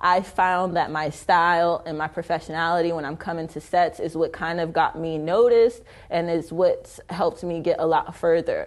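Hardly pausing, a woman with an American accent and an ordinary speaking voice talks at a moderate pace and fairly low pitch with fairly even intonation over a quiet background. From Detroit, then Arizona from about 13. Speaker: social media influencer and model. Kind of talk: interview.

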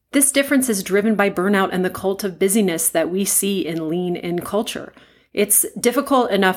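A woman with an unremarkable speaking voice, medium pitch, moderate pace and ordinary pitch variation, on a very clean recording with a silent background. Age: 50s. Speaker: podcast host, anesthesiologist and coach. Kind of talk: solo podcast monologue.

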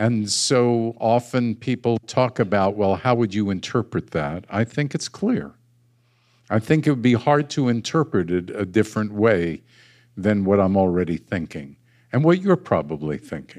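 A man with an unremarkable speaking voice, pitched fairly low, talks at a moderate pace with lively intonation. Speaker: rabbi. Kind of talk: sermon. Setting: congregation service, streamed live on Facebook.

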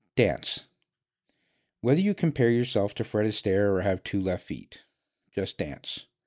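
Fairly low in pitch, a man speaks at a fairly slow pace with lively intonation and long, frequent pauses, on a very clean recording with a silent background. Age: 50s. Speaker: podcaster. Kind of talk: scripted monologue.

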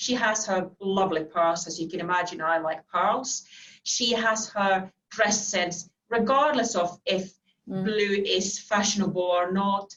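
A woman speaks in a Finnish accent. Her pitch is medium, with ordinary variation. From Finland. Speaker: financial services executive. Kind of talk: interview. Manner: halting, frequent repetitions.

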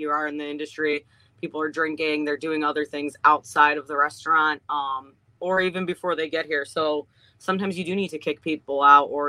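A woman's very deep, low-pitched voice with a bright, sharp tone and an American accent, very fast in pace, in a dry, close sound with no echo. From Ohio, US Midwest. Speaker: restaurant owner. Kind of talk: casual interview. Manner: frequent ums and hesitations.

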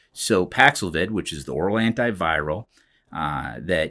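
A man with a very deep, low pitch and vocal fry speaks at a moderate pace with very wide pitch swings, on a very clean recording with a silent background. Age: 50s. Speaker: physician and hospital medical officer. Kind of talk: health update podcast monologue. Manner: halting, many fillers.

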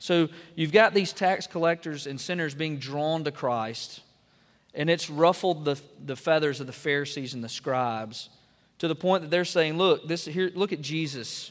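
In an Alabama accent, a man speaks at a moderate pace with a fairly high pitch and ordinary pitch variation. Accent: Southern US (Alabama). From US South, northwest Alabama. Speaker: pastor. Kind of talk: sermon.

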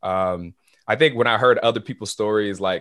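A man speaks at a moderate pace in a fairly low pitch, his intonation fairly even, against a quiet background. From Haiti, raised in Florida. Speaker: college student, podcast guest. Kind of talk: casual interview, testimony.

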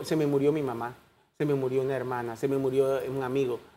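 A man's dark, mellow tone comes at a fairly quick pace. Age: 60s. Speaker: doctor and HIV foundation president. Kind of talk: TV interview. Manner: halting.

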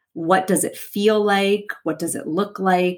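Here is a plain, everyday voice. A woman at medium pitch speaks at a fairly slow pace. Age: 30s. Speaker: podcast host and life coach. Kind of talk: solo podcast monologue.

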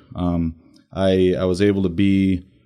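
A man with an American accent talks in a dark, mellow tone at a very deep, low pitch with monotone, flat intonation, recorded very cleanly against a silent background. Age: 30s. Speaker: firefighter recruit. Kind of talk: casual interview.

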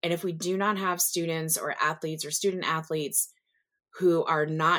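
The recording is very clean with a silent background, and a woman speaks at a moderate pace in an American accent. She has an unremarkable speaking voice, a fairly low pitch, and fairly even intonation. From US South. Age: 40s. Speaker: nurse and nursing professor. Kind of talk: interview.

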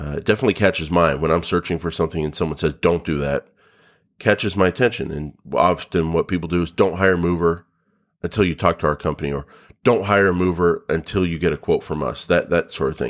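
The recording is very clean, with a silent background. A man with a very deep, low pitch speaks at a very fast pace, his pitch varying in an ordinary way. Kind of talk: pitchman-style sample ad copy, brainstormed aloud. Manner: punchy, urgent, salesy call-to-action; casual, filler-heavy, improvising.

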